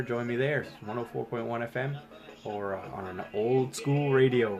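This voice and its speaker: Noticeable background noise sits behind a man speaking at a fairly slow pace. His pitch is medium with ordinary variation. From Acadia, Atlantic Canada. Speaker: radio host. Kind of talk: casual livestream monologue. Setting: Facebook Live video stream.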